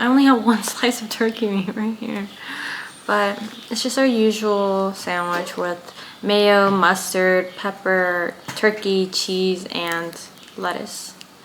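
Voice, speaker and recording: A woman speaks at a very slow pace with a medium pitch and fairly even intonation. Noticeable background noise runs behind her. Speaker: cooking vlogger. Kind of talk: casual vlog narration.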